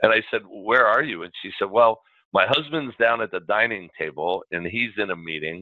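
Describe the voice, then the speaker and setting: A plain, everyday voice from a man, fairly low in pitch, with lively intonation at a moderate pace. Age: 50s. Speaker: podcast host. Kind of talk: casual interview.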